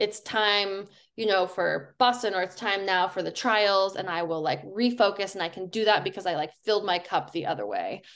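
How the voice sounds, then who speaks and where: A woman speaks in a plain, everyday voice with an American accent, her medium pitch carrying fairly even intonation at a moderate pace. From Colorado. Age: 30s. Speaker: professional runner. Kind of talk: casual chat.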